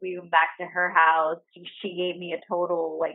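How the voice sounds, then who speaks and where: A woman with a New York accent speaks with monotone, flat intonation. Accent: New York City. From the Bronx, New York City. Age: 20s. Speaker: friend. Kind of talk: casual chat. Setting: at home.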